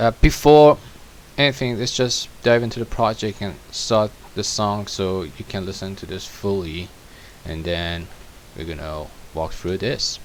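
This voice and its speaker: Man with a non-native accent, lively intonation and a moderate pace, over noticeable background noise. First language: not English. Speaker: music producer. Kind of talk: tutorial. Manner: halting. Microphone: poor microphone.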